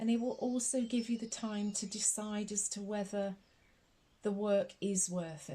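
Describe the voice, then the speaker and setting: This woman's voice sits at a medium pitch, with a dark, mellow tone that is somewhat breathy. Her intonation is fairly even and her tone soothing. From Scotland. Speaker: tarot reader. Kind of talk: ASMR tarot reading. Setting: recorded with birdsong and a snoring dog in background. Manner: soft-spoken, slow-paced, soothing.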